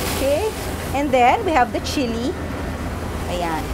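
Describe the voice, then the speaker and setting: Loud background noise fills the clip. The speech comes at a fairly slow pace. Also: woman. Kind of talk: tutorial. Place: kitchen.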